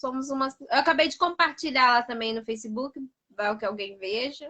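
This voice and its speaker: In a strong Paraná accent, a woman uses a raised, projected voice with a bright, sharp tone and a high pitch. She keeps a moderate pace with ordinary pitch variation. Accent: strong Paraná accent, drops some Rs and Ss. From Brazil, interior of Paraná (small town). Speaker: pedagogy student. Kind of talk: casual chat. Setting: live video stream.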